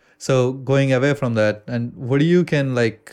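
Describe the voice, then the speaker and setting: A man speaks with an American accent at a moderate pace. His intonation is fairly even, and the background is quiet. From India. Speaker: podcast co-host. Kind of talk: casual chat. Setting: studio.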